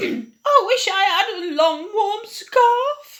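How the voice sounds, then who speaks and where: Put on as a character voice, this extremely high-pitched delivery moves at a very slow pace. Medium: read story.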